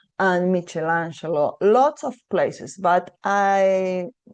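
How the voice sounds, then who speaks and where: In a Spanish accent, a woman speaks very slowly with fairly even intonation. Her pitch is fairly low and the background is quiet. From Argentina. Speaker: tour operator representative. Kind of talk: destination presentation. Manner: hesitant, many fillers.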